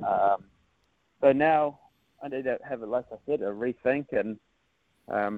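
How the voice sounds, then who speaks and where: A man with a New Zealand accent, medium in pitch, fairly even in intonation. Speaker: surfer, national champion. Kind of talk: casual interview.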